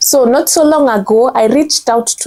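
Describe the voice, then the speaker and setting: With a Kenyan accent, a woman speaks at a fairly slow pace in a dark, mellow tone with ordinary pitch variation. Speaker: content strategist. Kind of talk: motivational commentary to camera.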